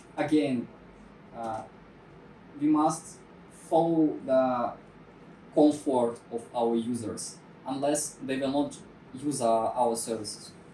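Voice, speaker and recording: Someone with a non-native accent speaks at a very slow pace, leaving long, frequent pauses. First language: not English. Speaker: security talk presenter. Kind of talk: technical talk. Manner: halting, many fillers.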